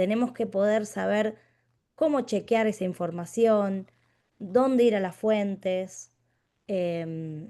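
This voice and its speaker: Speaking very slowly with long, frequent pauses, a woman uses a dark, mellow tone and a Rioplatense accent against a quiet background. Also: medium pitch for a woman, ordinary pitch variation. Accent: Rioplatense Spanish (porteño). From Buenos Aires, Argentina. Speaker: philosophy teacher. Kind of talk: lecture. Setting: video call.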